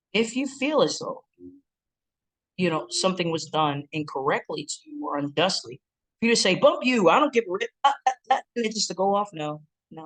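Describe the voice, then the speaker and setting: Music can be heard behind the voice. The words come at a fairly quick pace. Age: 40s. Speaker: relationship counselor and seminar speaker. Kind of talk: recorded seminar talk. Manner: hesitant fillers (um, uh).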